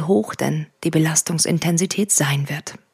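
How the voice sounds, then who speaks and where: In a very clean recording with a silent background, a somewhat breathy woman talks at a fairly slow pace, the sound dry and close with no echo. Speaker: meditation podcast host and coach. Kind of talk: guided meditation. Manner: slow, calm and soothing, with measured pauses.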